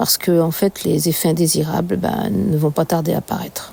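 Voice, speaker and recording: Her tone dark and mellow, a woman speaks fairly slowly with vocal fry. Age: 60s. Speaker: cancer patient. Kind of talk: testimony. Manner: halting.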